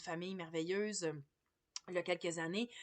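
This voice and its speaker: A woman speaks with a Quebec accent. Her pitch is medium. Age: 40s. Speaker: massage therapist. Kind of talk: casual vlog monologue. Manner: hesitant, many fillers.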